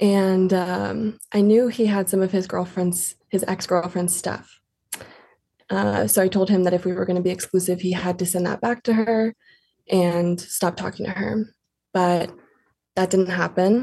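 A woman speaks at a fairly slow pace in a somewhat breathy, dark, mellow tone, her intonation monotone and flat. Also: medium pitch for a woman. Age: 20s. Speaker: caller. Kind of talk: casual chat.

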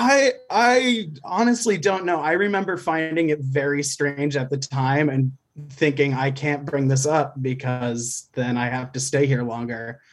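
A man's ordinary speaking voice, fairly high in pitch, at a fairly slow pace with hardly any pauses and lively intonation. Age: 20s. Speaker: caller. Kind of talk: casual chat.

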